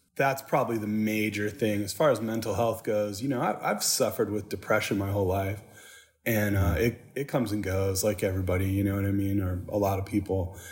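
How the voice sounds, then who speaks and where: A man with an American accent talks at a fairly quick pace in a fairly low, somewhat breathy voice. His intonation stays fairly even. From Michigan, Saginaw. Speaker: tattoo artist. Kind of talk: casual interview. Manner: halting.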